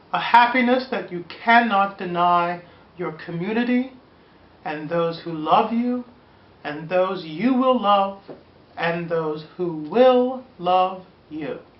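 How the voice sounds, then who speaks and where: Speech comes at a very slow pace with lively intonation and big swings in loudness, and there is audible room echo. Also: woman, medium pitch for a woman. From Pennsylvania, Pittsburgh. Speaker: video blogger. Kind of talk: personal testimony. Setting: recorded on camera. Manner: earnest, measured.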